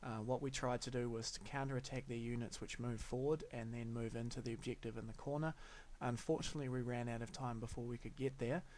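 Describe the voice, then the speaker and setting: A man speaks in a normal speaking voice at a medium pitch with fairly even intonation. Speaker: tabletop wargame hobbyist. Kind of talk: hobby voice-over narration.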